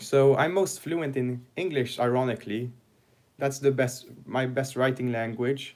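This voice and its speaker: Speaking fairly slowly, a man uses a medium pitch and fairly even intonation. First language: French and Swedish. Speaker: book reviewer, channel owner. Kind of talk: livestream Q&A chat. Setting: livestream. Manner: halting, frequent fillers and restarts.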